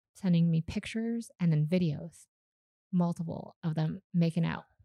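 A woman with a slight Canadian accent talks at a fairly quick pace in a fairly low pitch. Her tone is dark and mellow, and the sound is dry and close with no echo. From Canada; Calgary, Canada. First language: Vietnamese. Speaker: startup founder and CEO. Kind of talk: casual interview chat.

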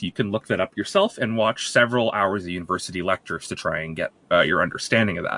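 A man speaks in a bright, sharp tone. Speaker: science segment contributor. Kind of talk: casual chat with science explanation.

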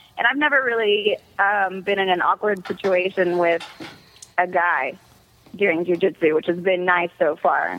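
A woman at medium pitch and a moderate pace, with ordinary pitch variation, over noticeable background noise. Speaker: MMA fighter and former beauty queen. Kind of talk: casual chat. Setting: phone call.

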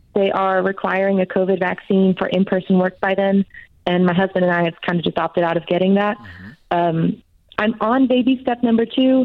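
A woman at a medium pitch and fairly quick pace, an ordinary speaking voice with ordinary pitch variation and very even loudness. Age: 20s. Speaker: caller. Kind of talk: call-in advice question.

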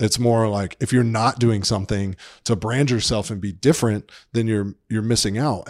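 A man with an American accent and an unremarkable speaking voice talks at a fairly low pitch in a very clean recording with a silent background. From Atlanta, Georgia, US South. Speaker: magazine editor. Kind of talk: casual interview.

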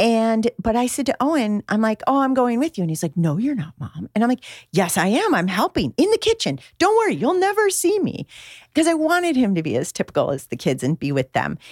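In a very clean recording with a silent background and a dry, close sound with no echo, a woman speaks at a fairly quick pace in a fairly high voice with very wide pitch swings. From Michigan, outside Detroit. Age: 50s. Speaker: author and mother. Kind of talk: casual chat.

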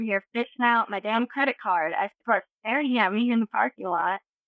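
A woman with an American accent talks at a fairly quick pace. Hers is an ordinary speaking voice with ordinary pitch variation. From North Carolina. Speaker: listener sending a video message. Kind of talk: recorded video message telling a story.

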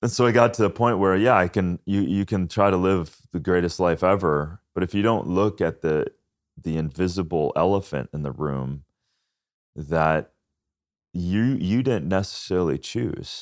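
A man with an American accent has a very deep, low pitch and ordinary pitch variation. The recording is very clean, with a silent background. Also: moderate pace. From US Midwest, Minnesota. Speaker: author and health podcast host. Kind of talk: casual interview. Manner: animated.

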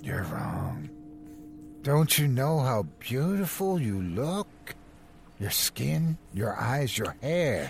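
In a put-on character voice, a man at a medium pitch moves through big pitch swings at a very slow pace, with vocal fry.

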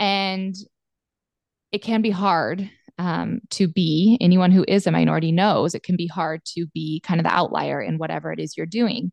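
In an unremarkable speaking voice, a woman talks at a moderate pace and a fairly low pitch with ordinary pitch variation, the sound dry and close with no echo. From Montana. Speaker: pharmacist and cattle rancher. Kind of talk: casual interview chat.

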